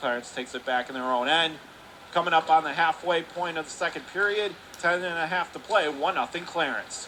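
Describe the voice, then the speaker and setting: A high-pitched man at a fairly quick pace with ordinary pitch variation, amid noticeable background noise. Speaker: radio play-by-play announcer. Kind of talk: live hockey play-by-play commentary. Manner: fast.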